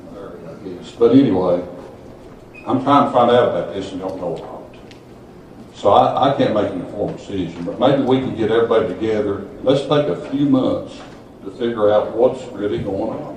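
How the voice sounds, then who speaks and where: Fairly quick, medium-pitched speech from a man, with ordinary pitch variation, big swings in loudness, audible room echo and noticeable background noise. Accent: Appalachian. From southeastern Kentucky. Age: 70s. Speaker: local resident speaking at public meeting. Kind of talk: public comment at county meeting. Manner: halting, repeats words.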